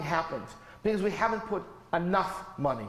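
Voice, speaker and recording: A man's high voice with lively intonation, audible room echo and noticeable background noise. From US. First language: not English. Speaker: professor. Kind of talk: lecture. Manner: animated.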